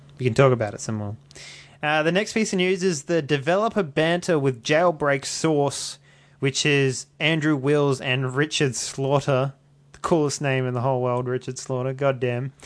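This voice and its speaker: Over a quiet background, a man with an Australian accent speaks with ordinary pitch variation. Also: fairly high pitch for a man, moderate pace. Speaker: podcast host and media editor. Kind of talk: casual chat. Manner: jokey, laughs often.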